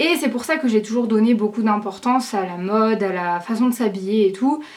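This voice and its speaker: Her fairly high-pitched voice moves at a moderate pace, and this woman shows ordinary pitch variation. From southern France, Aix-en-Provence. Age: young. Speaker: YouTuber. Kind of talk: casual vlog to camera. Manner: hesitant, many fillers.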